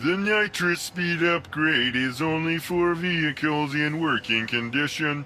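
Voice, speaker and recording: A put-on character voice comes through clear background noise. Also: man, fairly high pitch for a man, fairly slow pace, hardly any pauses. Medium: video game. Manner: formal.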